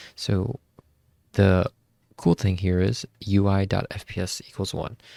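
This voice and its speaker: A man whispers at a fairly slow pace. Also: dry, close sound with no echo. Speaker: tech YouTuber. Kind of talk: tutorial. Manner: casual, filler-heavy; whispering.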